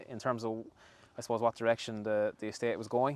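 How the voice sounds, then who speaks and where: A man's medium-pitched voice in a West Cork accent, very fast and monotone, flat in intonation. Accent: Irish (West Cork). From Ireland, West Cork (Skibbereen). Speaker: dairy farm manager. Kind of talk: on-site interview. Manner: hesitant, many fillers.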